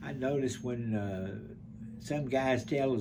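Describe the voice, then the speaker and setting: Amid noticeable background noise and audible room echo, a man with an Alabama accent speaks at a very slow pace and medium pitch with ordinary pitch variation. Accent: Southern US (Alabama). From US South. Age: 90s. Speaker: war veteran. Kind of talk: interview. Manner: halting.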